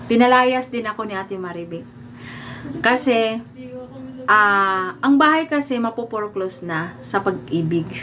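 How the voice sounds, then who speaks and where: A woman talks at a moderate pace. Her fairly high pitch swings very widely. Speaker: vlogger. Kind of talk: storytelling monologue.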